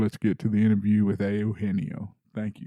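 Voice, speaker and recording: A man with a Texas accent speaks in a dark, mellow tone. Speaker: podcast host. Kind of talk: casual monologue; casual interview. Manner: halting, many fillers.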